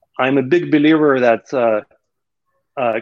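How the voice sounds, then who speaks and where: This is a man talking with a Russian accent. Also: dry, close sound with no echo. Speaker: entrepreneur. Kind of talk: casual interview conversation.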